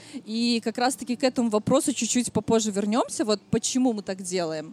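Speech at a moderate pace comes through a dry, close sound with no echo but noticeable background noise. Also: woman. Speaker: podcast host and stylist. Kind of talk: live podcast recording before audience. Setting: outdoor stage at city picnic with audience.

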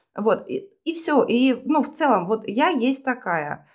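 The recording is very clean, with a silent background. The voice heard is a woman's. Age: 40s. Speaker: self-described witch and psychologist. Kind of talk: casual chat.

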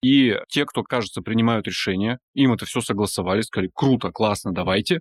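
A man talks at a fairly quick pace with ordinary pitch variation and a normal speaking voice, the sound dry and close with no echo in a very clean recording over a silent background. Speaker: podcast host, journalist. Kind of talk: casual interview conversation.

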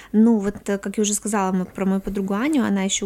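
A woman has an ordinary speaking voice at medium pitch with fairly even intonation. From Komi Republic, Russia (Syktyvkar). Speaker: podcast guest. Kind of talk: casual chat.

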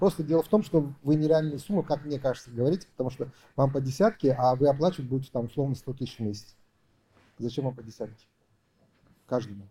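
Speaking at a very fast pace, this voice has a dark, mellow tone, a somewhat breathy quality and ordinary pitch variation, broken by long, frequent pauses. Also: man, fairly high pitch for a man. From Uzbekistan. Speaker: entrepreneur. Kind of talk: business consultation.

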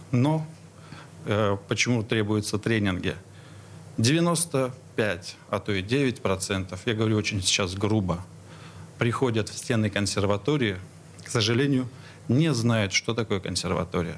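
A man's fairly low voice with ordinary pitch variation and long, frequent pauses. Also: fairly slow pace. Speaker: stage director and acting teacher. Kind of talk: radio interview. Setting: studio. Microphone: too far from the mic at first.

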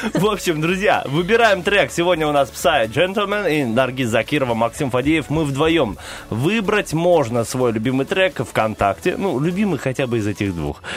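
Over music in the background, a man with a fairly high voice speaks at a moderate pace in a playful tone, his pitch swinging very widely. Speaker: radio host. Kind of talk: casual banter on morning radio show. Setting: studio. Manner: playful, joking.

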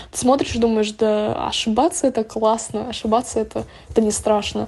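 A woman at a fairly high pitch with a dark, mellow tone and fairly even intonation, at a moderate pace over a quiet background. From Estonia. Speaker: podcast listener. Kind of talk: recorded voice message.

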